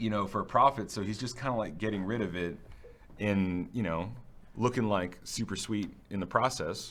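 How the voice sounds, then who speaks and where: Here a man talks at a moderate pace in an ordinary speaking voice, fairly low in pitch with ordinary pitch variation. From New Orleans area, US, with time in South America; Louisiana. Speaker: UX designer at a game studio. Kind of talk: casual chat during a livestream.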